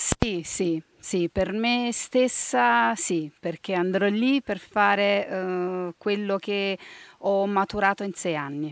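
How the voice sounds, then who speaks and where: Delivery is at a very slow pace with lively intonation. The sound is dry, with no echo. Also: woman. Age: 30s. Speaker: national team archer. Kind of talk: interview. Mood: proud, smiling. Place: forest. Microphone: handheld.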